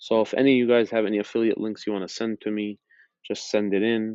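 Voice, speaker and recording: A man with an American accent speaks with a fairly low pitch. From Minnesota, US. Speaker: former teacher turned YouTuber. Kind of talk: casual vlog monologue. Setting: public library. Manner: slow.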